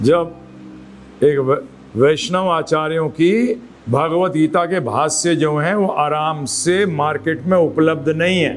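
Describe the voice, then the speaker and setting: In a room with audible echo, a man talks with a fairly high pitch, ordinary pitch variation and very even loudness. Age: 60s. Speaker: spiritual teacher. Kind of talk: lecture.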